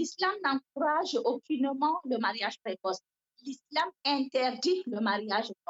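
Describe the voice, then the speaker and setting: A woman with a West African accent speaks at a fairly slow pace. Her high voice moves with lively intonation. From northern Cameroon. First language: Fula (speaking French). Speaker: novelist. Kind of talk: interview.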